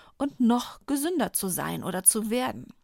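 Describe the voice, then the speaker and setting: A woman with a fairly high pitch speaks very slowly, her intonation lively. The sound is dry and close with no echo, on a very clean recording with a silent background. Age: 40s. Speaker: pharmacist and podcast host. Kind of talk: scripted narration.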